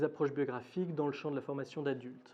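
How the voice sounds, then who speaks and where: A man speaks in a fairly high pitch. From Switzerland, Geneva. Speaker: academic lecturer. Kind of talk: lecture. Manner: hesitant, many fillers.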